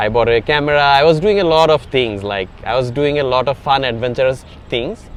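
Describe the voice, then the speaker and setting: The man's voice has a medium pitch with ordinary variation. He talks at a fairly quick pace. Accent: Bengali. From Bangladesh. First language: Bengali. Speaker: tech startup founder. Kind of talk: interview. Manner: hesitant, many fillers.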